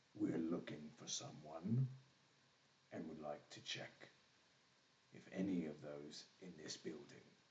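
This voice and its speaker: Putting on a character voice, a man speaks very deep and low, gravelly and rumbling, at a fairly slow pace with long, frequent pauses and ordinary pitch variation. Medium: actual play. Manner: blunt, curt, humorless.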